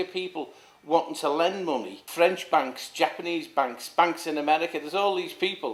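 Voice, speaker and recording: Here a man speaks with a Liverpool accent at a high pitch. He moves at a fairly quick pace with ordinary pitch variation. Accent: Scouse (Liverpool). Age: 60s. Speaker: former councillor. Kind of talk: interview. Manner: halting, many repetitions.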